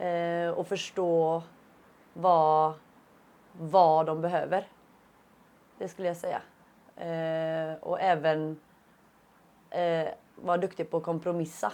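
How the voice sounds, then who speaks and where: At a very slow pace with long, frequent pauses, a woman speaks at a fairly low pitch in monotone, flat intonation. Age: 30s. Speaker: UX design student. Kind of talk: interview answers. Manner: halting with many fillers.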